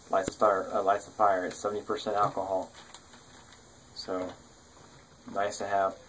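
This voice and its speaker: Noticeable noise fills the background. Against it, a man talks in a fairly low voice. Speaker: survival gear youtuber. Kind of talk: gear show-and-tell tutorial. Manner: halting, many fillers.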